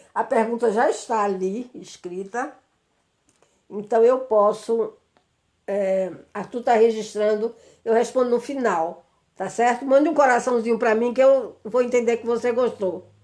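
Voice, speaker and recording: Using a normal speaking voice, a woman with a fairly high pitch talks at a fairly slow pace. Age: 60s. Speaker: psychologist and speaker. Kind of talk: live stream talk. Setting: live video stream.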